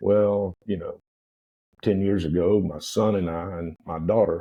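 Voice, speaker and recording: A man speaks in a very deep, low voice. His intonation is fairly even and his pace fairly slow. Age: 70s. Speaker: restaurant owner and entrepreneur. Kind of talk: interview conversation. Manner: halting, many fillers.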